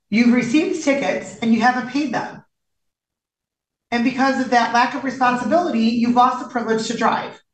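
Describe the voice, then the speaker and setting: A high-pitched woman at a moderate pace, with ordinary pitch variation and audible room echo. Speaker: judge. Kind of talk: stern questioning from the bench. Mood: stern, scolding. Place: hall. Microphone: video call.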